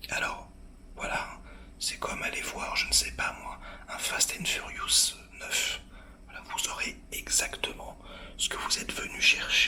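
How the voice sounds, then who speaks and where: Whispering at a very slow pace, broken by long, frequent pauses, over noticeable background noise. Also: man. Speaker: film critic reviewer. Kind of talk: film review to camera. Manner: whispered, hushed.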